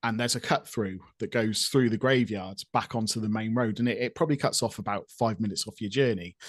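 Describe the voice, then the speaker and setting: A man with a West Country accent talks at a very fast pace with a medium pitch. His intonation is fairly even, and the background is quiet. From Gloucestershire, England. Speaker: podcast co-host. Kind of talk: casual chat.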